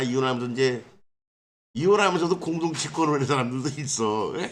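A man with an unremarkable speaking voice, fairly quick pace and ordinary pitch variation. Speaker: legal scrivener. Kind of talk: informal legal explainer. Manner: casual, rhetorical questions.

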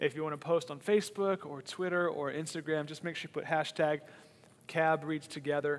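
The pace of this man's speech is moderate. Fairly even intonation carries through it. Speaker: church pastor. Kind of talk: announcements to online viewers. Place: stage. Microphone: headset.

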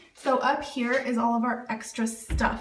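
A woman's high-pitched voice carries audible room echo. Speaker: home organizing vlogger. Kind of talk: casual vlog chat. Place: bathroom. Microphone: phone near.

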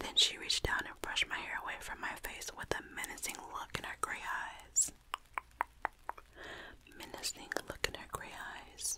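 A woman whispers at a moderate pace, soft-spoken. Noticeable background noise can be heard. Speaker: storyteller. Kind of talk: scary story narration. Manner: soft close whisper, narrating. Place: home room. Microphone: studio mic.

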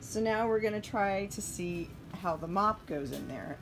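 With music in the background, a woman speaks at a fairly slow pace with ordinary pitch variation. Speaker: RV traveler vlogger. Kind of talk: casual vlog chat. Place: home room. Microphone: phone near.

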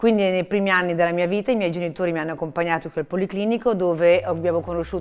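A woman talks in a normal speaking voice. Her pitch sits fairly low. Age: 50s. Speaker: hospital benefactor and patient. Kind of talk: testimony. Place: hall. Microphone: lapel.

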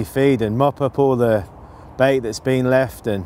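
Light background noise sits behind a man recorded in a dry sound with no echo. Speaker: presenter. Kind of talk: interview answer. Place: waterside.

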